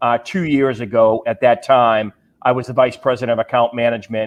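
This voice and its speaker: Speaking at a fairly quick pace, a man has a medium pitch and a Massachusetts accent. His intonation stays fairly even. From Massachusetts, US. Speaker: pharma sales executive. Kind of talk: panel discussion.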